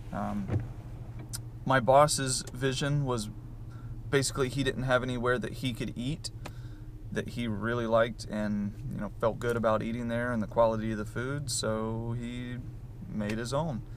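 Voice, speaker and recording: A man with a Southern US accent at medium pitch, moderate pace and monotone, flat intonation, with long, frequent pauses and audible room echo. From US South. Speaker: vlogger, restaurant employee. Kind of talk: casual vlog. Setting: on the go, in stores. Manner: casual, with many fillers.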